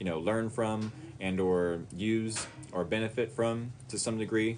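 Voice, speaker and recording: A man with an ordinary speaking voice, fairly low pitch and fairly even intonation. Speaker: tarot reader. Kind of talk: live-stream tarot reading.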